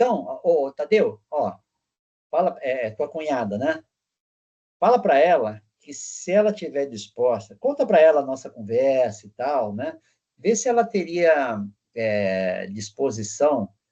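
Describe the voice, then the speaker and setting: Speaking at a fairly slow pace, a man with a fairly high pitch and a dark, mellow tone makes very wide pitch swings. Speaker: teacher. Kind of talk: casual discussion at end of online class.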